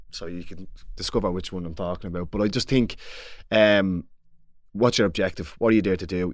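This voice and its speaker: In a Dublin accent, a man speaks with a very deep, low pitch and fairly even intonation at a fairly quick pace. His loudness swings widely, he takes long, frequent pauses, and the background is quiet. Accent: Dublin Irish. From Dublin, Ireland. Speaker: former Gaelic football player, pundit. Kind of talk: casual sports discussion. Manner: halting, repeats words.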